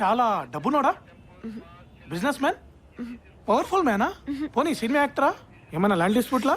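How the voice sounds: The put-on character voice has a fairly bright tone, a slightly husky edge and big pitch swings, and it moves at a fairly quick pace. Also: man, extremely high pitch for a man.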